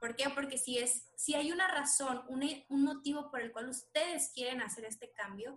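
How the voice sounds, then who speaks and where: At a moderate pace, a woman talks in a high voice. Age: 20s. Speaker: doctor. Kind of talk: interview.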